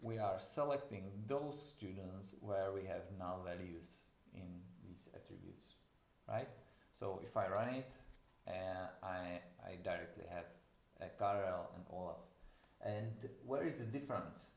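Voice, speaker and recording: In a non-native accent, a man with a fairly low pitch talks at a fairly slow pace, somewhat breathy, with ordinary pitch variation. Long, frequent pauses break his speech, and audible room echo surrounds it. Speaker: university lecturer. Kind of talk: lecture. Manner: halting.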